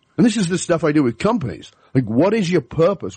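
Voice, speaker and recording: A somewhat breathy male voice with an English accent and very wide pitch swings, in a dry, close sound with no echo. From England. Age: 50s. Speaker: leadership speaker and author. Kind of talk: interview.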